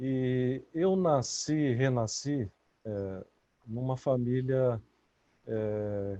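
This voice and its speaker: Speaking very slowly with long, frequent pauses, a man uses a medium pitch and ordinary pitch variation. His tone is dark and mellow. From Brazil. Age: 60s. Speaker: author and researcher. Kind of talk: interview. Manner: halting.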